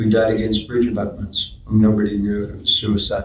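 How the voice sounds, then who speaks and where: Somewhat breathy, a man talks at a moderate pace in a fairly low voice. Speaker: slam poet. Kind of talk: spoken word poetry performance. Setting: live event.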